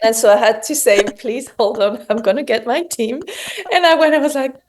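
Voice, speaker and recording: Lively intonation and a fairly quick pace from a woman with a high pitch and a French accent. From southern France. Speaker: homewares brand founder. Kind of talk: interview.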